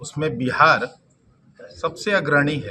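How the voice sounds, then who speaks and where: With a Bihari accent, a man talks with ordinary pitch variation while audible room echo surrounds him. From Bhojpur region, Bihar. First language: Bhojpuri (speaking Hindi). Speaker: politician. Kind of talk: press conference statement.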